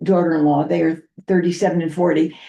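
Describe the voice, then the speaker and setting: A woman with a dark, mellow tone. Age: 70s. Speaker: guest speaker on parenting and diversity. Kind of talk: public meeting discussion. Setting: town committee meeting.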